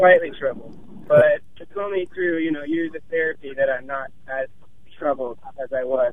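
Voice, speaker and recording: Against noticeable background noise, a man talks at a fairly slow pace and a fairly high pitch, with ordinary pitch variation and big swings in loudness. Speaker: radio show caller. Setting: phone call while driving.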